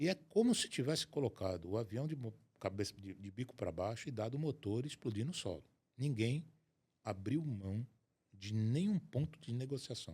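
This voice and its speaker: Somewhat breathy and dark, mellow in tone, a man speaks at medium pitch and a moderate pace with lively intonation. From Brazil, Rio de Janeiro state. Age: 60s. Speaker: asset protection and estate planning specialist. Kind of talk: interview conversation.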